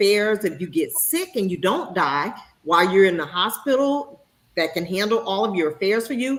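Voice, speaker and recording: A woman talks with lively intonation at a moderate pace. She has an ordinary speaking voice at a medium pitch. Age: 50s. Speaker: talk show host. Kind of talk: casual talk show discussion.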